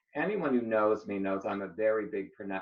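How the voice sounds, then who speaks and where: A man speaks at a moderate pace in a plain, everyday voice. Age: 60s. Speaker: arts centre executive director. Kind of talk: casual interview.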